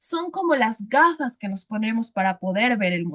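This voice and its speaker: In a highland Ecuadorian accent, a woman speaks fairly slowly with very wide pitch swings. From Ecuadorian highlands (Sierra). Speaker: teacher. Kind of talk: lecture.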